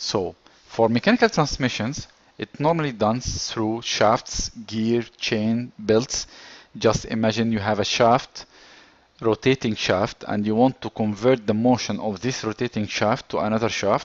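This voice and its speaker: A man speaks with a non-native accent and fairly even intonation. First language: not English. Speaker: engineering course instructor. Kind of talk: lecture.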